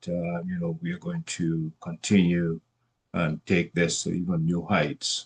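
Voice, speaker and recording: A man's very deep, low voice with a Trinidadian accent, at a fairly slow pace, in a dry, close sound with no echo. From Trinidad and Tobago. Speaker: commission chair. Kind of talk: formal introduction at an onboarding meeting. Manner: halting, many fillers.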